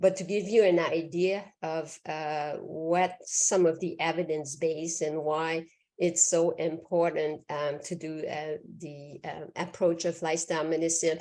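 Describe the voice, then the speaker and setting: A woman with a Quebec accent speaks at a fairly slow pace, her fairly low voice dark and mellow in tone, her intonation monotone and flat. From Quebec, Canada. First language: French. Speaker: physician. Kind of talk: lecture.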